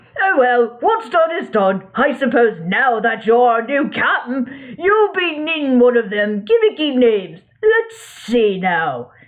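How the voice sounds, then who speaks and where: In a put-on character voice, the speaker goes at a fairly slow pace with hardly any pauses. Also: man, extremely high pitch for a man. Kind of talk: pirate talk. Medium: read story. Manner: rambling, folksy.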